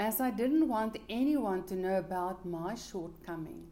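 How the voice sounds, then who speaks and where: A woman's dark, mellow tone with a South African accent at a fairly slow pace. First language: Afrikaans. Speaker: life coach. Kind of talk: motivational talk.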